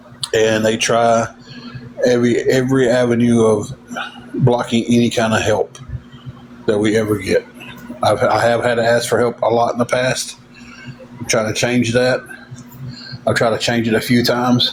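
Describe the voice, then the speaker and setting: This man talks in a Southern US accent at medium pitch, his intonation monotone and flat. He keeps a moderate pace with long, frequent pauses, over noticeable background noise. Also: very even loudness. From Tennessee. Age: 40s. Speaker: livestreamer. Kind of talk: casual chat.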